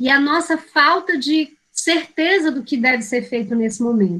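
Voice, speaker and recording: A woman's raised, projected voice with a bright, sharp tone, lively intonation and a moderate pace. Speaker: teacher educator. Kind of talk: lecture.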